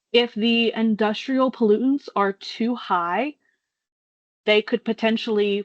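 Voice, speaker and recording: A woman speaks fairly slowly in an unremarkable speaking voice with a fairly high pitch and fairly even intonation. The sound is dry and close with no echo. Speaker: state water pretreatment coordinator. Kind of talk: webinar presentation.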